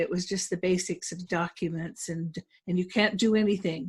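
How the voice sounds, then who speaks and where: Against a quiet background, a woman with a medium pitch and a somewhat breathy voice speaks at a moderate pace with fairly even intonation. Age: 70s. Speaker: notary trainer and business owner. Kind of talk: webinar panel introduction. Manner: halting.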